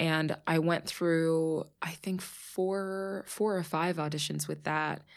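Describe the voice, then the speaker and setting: In a very clean recording with a silent background, a woman speaks with an American accent at a very slow pace. Her pitch is fairly low and her intonation monotone and flat. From US, Pittsburgh. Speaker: actress. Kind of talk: casual chat. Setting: studio.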